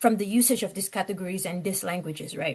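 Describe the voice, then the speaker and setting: A somewhat breathy woman with a slight non-native accent talks with ordinary pitch variation over a quiet background. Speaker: lecturer. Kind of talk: lecture. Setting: class, in person and on Zoom.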